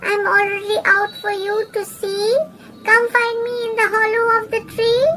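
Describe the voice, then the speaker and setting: Soft-spoken and extremely high-pitched, a put-on character voice moves at a moderate pace over light background noise. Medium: read story. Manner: rhyming, sly.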